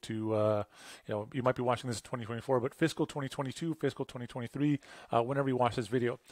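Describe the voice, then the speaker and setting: With a Canadian accent, a man speaks at medium pitch with fairly even intonation. The recording is very clean with a silent background and a dry, close sound with no echo. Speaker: web design agency owner. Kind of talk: tutorial. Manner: fast; casual.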